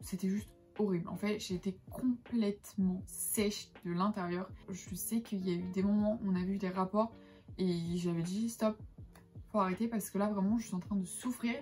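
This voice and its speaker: A woman's medium-pitched voice with fairly even intonation, music playing behind her. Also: moderate pace. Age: 20s. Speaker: lifestyle vlogger. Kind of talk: casual talk to camera.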